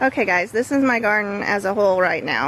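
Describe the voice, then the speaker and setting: Noticeable background noise accompanies a woman who speaks at a fairly quick pace. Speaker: YouTuber vlogger. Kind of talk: casual vlog tour. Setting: outdoors in backyard garden. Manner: loud.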